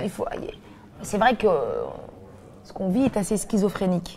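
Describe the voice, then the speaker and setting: Noticeable background noise sits under a woman's fairly high-pitched voice. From Belgium. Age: 30s. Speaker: comedian and actress. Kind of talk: interview answer. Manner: casual, lively.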